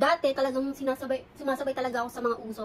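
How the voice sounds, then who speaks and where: Fairly quick, high-pitched speech from a woman. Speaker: beauty vlogger. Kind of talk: get ready with me vlog. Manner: soft-spoken.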